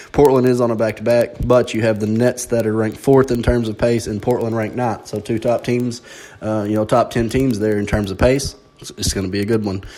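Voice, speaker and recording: Over noticeable background noise, a man with an American accent speaks at a fairly quick pace. His pitch is medium and his intonation monotone and flat. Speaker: sports betting podcast host. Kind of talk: podcast analysis monologue. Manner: fast.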